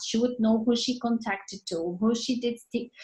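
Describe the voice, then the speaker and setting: A woman speaks with a non-native accent. Her pace is moderate and her intonation fairly even. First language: not English. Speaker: network marketing team leader. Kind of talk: motivational team training talk.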